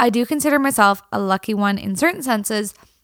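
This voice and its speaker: A normal speaking voice moves at a moderate pace with lively intonation, on a very clean recording with a silent background. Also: woman. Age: 30s. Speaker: country singer and podcast host. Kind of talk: solo podcast monologue. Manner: casual, laughing often.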